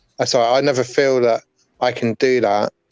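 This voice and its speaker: In an English accent, a man talks at a moderate pace with a medium pitch and monotone, flat intonation, the sound dry and close with no echo. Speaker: warehouse worker. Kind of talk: casual chat. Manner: soft-spoken.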